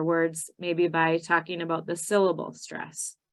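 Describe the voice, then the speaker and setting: Against a quiet background, a woman talks with a Minnesotan accent. Her pitch is fairly low and her pace moderate. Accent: Minnesota. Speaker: ESL citizenship teacher trainer. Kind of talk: training webinar presentation.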